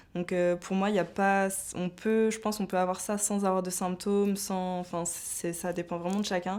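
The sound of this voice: A woman talks at a fairly low pitch with little pitch movement. Her tone is slightly mellow. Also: moderate pace.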